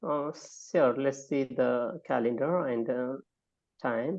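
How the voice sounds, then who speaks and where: A man with a non-native accent speaks at a very slow pace. His pitch is fairly high. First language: not English. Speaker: academic guest speaker. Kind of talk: online talk. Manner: halting.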